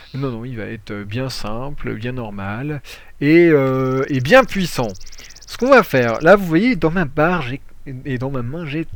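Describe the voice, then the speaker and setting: With lively intonation, a man speaks at a moderate speed. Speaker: gaming youtuber. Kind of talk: gameplay tutorial commentary. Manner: hesitant, many fillers.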